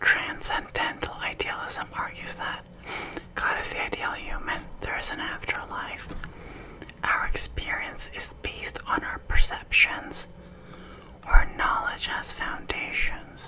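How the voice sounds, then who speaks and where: Whispering at a fairly slow pace, a woman swings widely in loudness against noticeable background noise. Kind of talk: whispered ASMR quiz with casual chat. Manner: whispered, soft-spoken.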